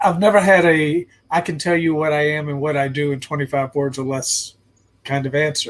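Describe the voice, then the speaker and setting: A somewhat breathy man's voice, fairly high in pitch, with an American accent, fairly even intonation and a moderate pace. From US South (Virginia). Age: 60s. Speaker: life coach and consultant. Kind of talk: interview. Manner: halting, repeats words.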